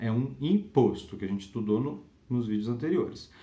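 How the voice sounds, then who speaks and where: Audible room echo surrounds a man whose dark, mellow tone carries lively intonation. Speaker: law lecturer. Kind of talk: lecture. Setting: home recording.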